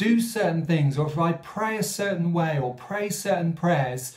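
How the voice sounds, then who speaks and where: At a fairly slow pace, a man speaks over a quiet background. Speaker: speaker. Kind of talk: sermon-style reflection. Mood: calm, earnest. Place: home room. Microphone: phone near.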